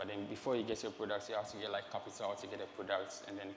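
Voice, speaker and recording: Noticeable background noise and audible room echo are present. The man's intonation stays fairly even. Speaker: marketing lead presenting a startup. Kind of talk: stage presentation. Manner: halting, many fillers.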